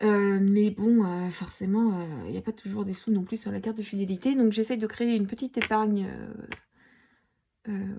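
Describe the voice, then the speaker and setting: At a moderate pace, a woman talks in a medium pitch, somewhat breathy, with fairly even intonation. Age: 30s. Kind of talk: casual talk to camera. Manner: hesitant, many fillers.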